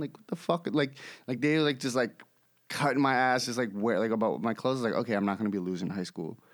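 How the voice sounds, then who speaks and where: A man with an American accent speaks at a very fast pace. His medium-pitched voice has lively intonation. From New York City. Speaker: podcast guest. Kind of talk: casual chat.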